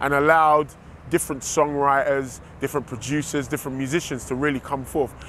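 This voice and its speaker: A London accent marks this voice. It belongs to a man. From England, East London. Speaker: music producer. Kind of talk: promotional interview.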